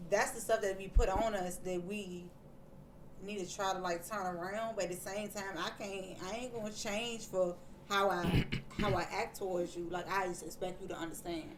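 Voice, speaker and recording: A woman speaks at a medium pitch and a moderate pace with fairly even intonation, amid audible room echo and noticeable background noise. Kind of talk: casual chat.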